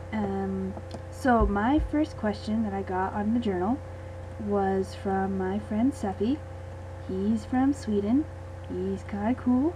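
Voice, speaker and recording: A quiet woman speaks at a very slow pace with long, frequent pauses amid noticeable background noise. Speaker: gaming video creator. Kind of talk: casual gameplay commentary and Q and A. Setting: home recording late at night.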